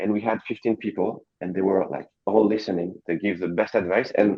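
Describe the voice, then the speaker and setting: A man talks at a moderate pace with a French accent. His pitch is fairly low, with ordinary variation. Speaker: coworking space co-founder. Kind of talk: panel discussion. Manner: halting.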